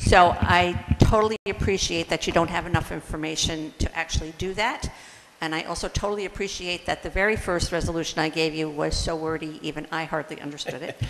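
Over light background noise, a woman with an unremarkable speaking voice talks fairly quickly, her fairly low pitch held in fairly even intonation. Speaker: volunteer environmental committee member. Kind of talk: presentation at public meeting. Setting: town hall meeting with public present. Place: meeting room.

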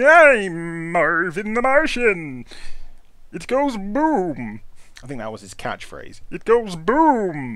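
A cartoonish character voice at a middle pitch, with very wide pitch swings. The pace is very slow.

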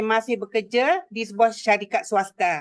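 A normal speaking voice from a woman, fairly high in pitch, at a fairly slow pace. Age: 60s. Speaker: direct sales entrepreneur. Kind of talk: testimony speech.

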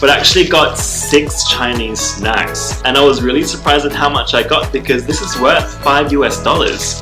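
Clear music plays in the background. A man speaks at a moderate pace. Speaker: vlogger. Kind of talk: casual vlog chat. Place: home room.

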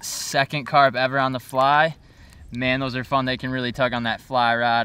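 In a dry sound with no echo, a man speaks at a fairly quick pace with a bright, sharp tone and monotone, flat intonation. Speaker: angler vlogger. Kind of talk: casual vlog chat. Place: waterside.

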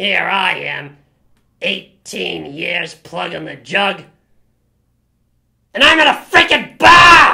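Speaking at a very slow pace, a woman leaves long, frequent pauses while her loudness swings widely. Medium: comedy sketch. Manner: aggressive, ranting.

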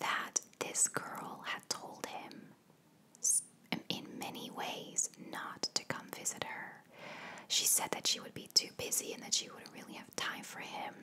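A woman whispering at a fairly slow pace, with big swings in loudness. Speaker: ASMR storyteller. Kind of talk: soft-spoken true crime narration. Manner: soft, hushed ASMR storytelling voice. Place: home room. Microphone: studio mic.

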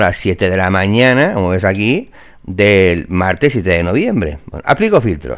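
Over a quiet background, a man with an ordinary speaking voice talks slowly-ish at a fairly low pitch, his intonation lively. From Valencia, Spain. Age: 40s. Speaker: real estate trainer. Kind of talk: screen-share tutorial. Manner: casual, filler-heavy.

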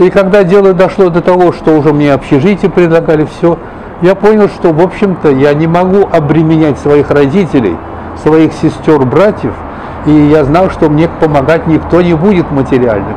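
A man talks with ordinary shifts in pitch while noticeable noise fills the background. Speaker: television and radio announcer, writer and local historian. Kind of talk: interview answer, reminiscing about his career. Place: cafe. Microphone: lapel.

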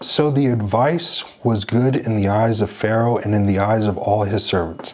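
A man speaks with an American accent at a fairly slow pace. His voice sits fairly low. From United States. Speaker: church speaker; speaker. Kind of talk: sermon. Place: home room.

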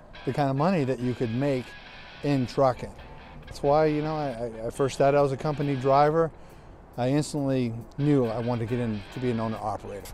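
Very fast and with fairly even intonation, a man speaks in a dry sound with no echo as faint music plays in the background. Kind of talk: interview answer. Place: street.

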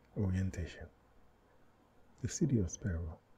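A man whispers, soft-spoken. His voice is somewhat breathy. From Haiti. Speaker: author reading own book. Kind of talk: audiobook reading. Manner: soft-spoken, whispered.

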